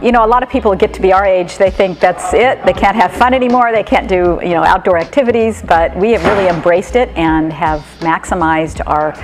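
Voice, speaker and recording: Over music in the background, a woman with a medium pitch and ordinary pitch variation talks at a fairly quick pace with hardly any pauses. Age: 60s. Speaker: van traveler, customer. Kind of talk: interview testimony. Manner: casual, with fillers.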